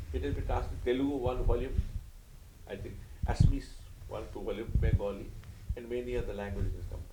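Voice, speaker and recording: A man in an Odisha accent at a very fast pace, with long, frequent pauses, big swings in loudness, audible room echo and noticeable background noise. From India (Odisha). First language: Oriya. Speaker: spiritual teacher and author. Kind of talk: interview.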